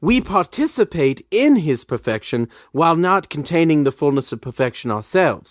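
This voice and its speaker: Lively in intonation, a man with an English accent speaks at a moderate pace in a dry, close sound with no echo, on a very clean recording with a silent background. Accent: sounds English, unlike locals. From Colorado, Littleton area. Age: 30s. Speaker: priest. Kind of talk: casual chat.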